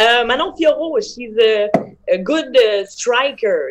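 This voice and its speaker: A woman talks very slowly, and her pitch moves in an ordinary way. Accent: French. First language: French. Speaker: MMA fighter. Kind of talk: interview. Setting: video call.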